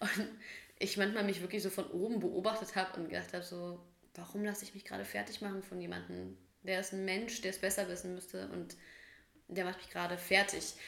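A woman at a fairly quick pace, medium in pitch, with monotone, flat intonation, big swings in loudness and audible room echo. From Bavaria, Germany (Munich, then Hof). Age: 30s. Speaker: podcast co-host. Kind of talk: casual chat.

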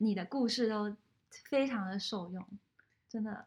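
A woman speaks at a moderate pace with fairly even intonation. Her voice is somewhat breathy. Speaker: podcast host. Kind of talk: casual interview.

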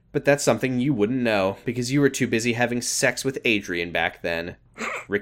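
An unforced reading voice carries the whole clip.

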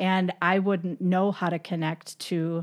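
With an American accent, a woman talks in an unremarkable speaking voice at medium pitch, her intonation fairly even. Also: very clean recording, silent background. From Michigan. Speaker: podcast host. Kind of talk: casual chat. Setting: at guest's home.

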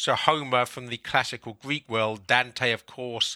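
A man with a southern English accent talks at a moderate pace in a monotone, flat delivery, his medium-pitched voice bright and sharp, in a very clean recording with a silent background. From London, England. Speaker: author and publisher. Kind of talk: casual interview.

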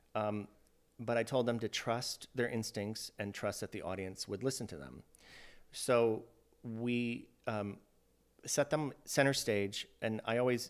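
In a very clean recording with a silent background, a man with an American accent uses a normal speaking voice at medium pitch with fairly even intonation. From Iowa. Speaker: theater company manager. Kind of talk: interview.

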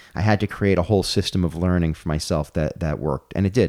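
A man with an American accent speaks at a very fast pace. His pitch is very deep and low, and his intonation fairly even. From New York, Brooklyn. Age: 40s. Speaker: comedian and gutter business owner. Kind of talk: casual chat.

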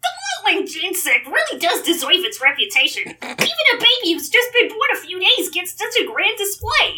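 The pitch here is extremely high. It comes from a put-on character voice. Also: moderate pace. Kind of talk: comic read-aloud character voice. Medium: read story. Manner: knowing, conversational.

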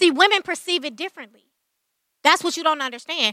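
A woman with an extremely high, bright, sharp voice projects it loudly with ordinary pitch variation, in a dry, close sound with no echo. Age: 30s. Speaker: podcast co-host. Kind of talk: casual chat. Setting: live stream.

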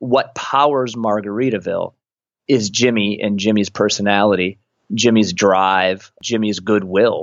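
A man with an American accent at a fairly low pitch, a moderate pace and ordinary pitch variation. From Michigan, US Midwest. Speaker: author. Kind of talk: interview. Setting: radio broadcast. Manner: halting, with repetitions.

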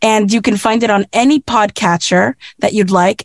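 A woman talks at a moderate pace. The sound is dry and close, with no echo. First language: Spanish. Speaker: voice artist. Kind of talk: casual chat.

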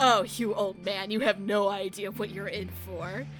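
A put-on character voice at a middle pitch cackles at a moderate pace while clear music plays in the background. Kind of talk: threatening. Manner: menacing, cackling.

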